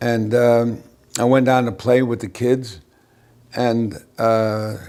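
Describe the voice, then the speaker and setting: A man with a New York accent, medium pitch, a very slow pace and flat, monotone intonation. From New York City. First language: Yiddish. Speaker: interviewee recounting childhood. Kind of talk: oral history interview. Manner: halting.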